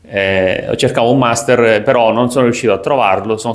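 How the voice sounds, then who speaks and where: A man talks fairly quickly at a medium pitch with ordinary pitch variation, noticeable noise running in the background. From Sicily, Italy. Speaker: sports business content creator. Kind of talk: casual vlog monologue. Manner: hesitant, many fillers.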